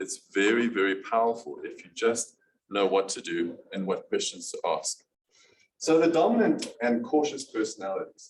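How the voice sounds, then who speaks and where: Speaking at a moderate pace, a man talks with a South African accent. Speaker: business presenter. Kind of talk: business presentation.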